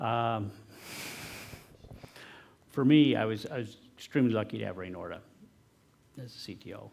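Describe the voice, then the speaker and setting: Speaking at a moderate pace, a man has a fairly low pitch, a dark, mellow tone and ordinary pitch variation. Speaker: tech company founder and CTO. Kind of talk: talk and audience Q&A answers. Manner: soft-spoken.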